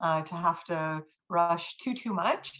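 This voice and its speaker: A woman speaks with a fairly low pitch. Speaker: university writing instructor. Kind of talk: lecture. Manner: halting, many fillers.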